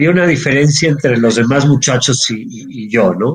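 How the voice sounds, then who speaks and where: Somewhat breathy male voice, medium in pitch, with lively intonation at a moderate pace. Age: 50s. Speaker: entrepreneur, actuary. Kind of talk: interview.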